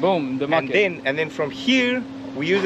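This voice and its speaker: A man with very wide pitch swings, dry sound with no echo and noticeable background noise. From South Africa. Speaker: environmental project coordinator. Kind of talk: interview during site tour. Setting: outdoor demonstration site. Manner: halting, with many repetitions and fillers. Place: open country. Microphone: camera far.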